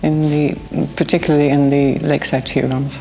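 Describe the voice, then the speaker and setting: A woman speaks in a rural Irish accent with a very deep, low pitch. Her intonation is monotone and flat, and there is noticeable background noise. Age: 70s. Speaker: community volunteer, award winner. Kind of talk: interview testimony.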